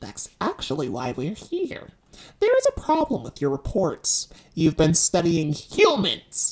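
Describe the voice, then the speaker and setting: A female-sounding voice in a put-on character voice speaks fairly slowly at a fairly low pitch. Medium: machinima. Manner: condescending, exasperated.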